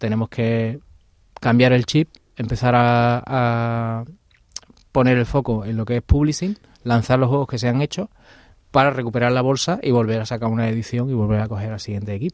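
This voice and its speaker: A man with a plain, everyday voice and medium pitch talks at a fairly quick pace. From Andalusia, Seville. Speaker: video game studio founder. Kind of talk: interview.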